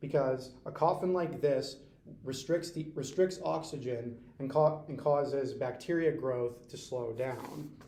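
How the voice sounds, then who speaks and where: A man with an American accent talks at a fairly slow pace in a dark, mellow tone. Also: fairly high pitch for a man, ordinary pitch variation. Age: 20s. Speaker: community college student. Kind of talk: school book report presentation. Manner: stuttering, repeats words.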